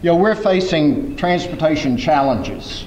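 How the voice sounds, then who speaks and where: Over noticeable background noise and audible room echo, a man with a Southern US accent speaks at a fairly slow pace. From US South (Mississippi). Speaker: former mayor and transportation advocate. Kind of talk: keynote speech. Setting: conference stage with audience.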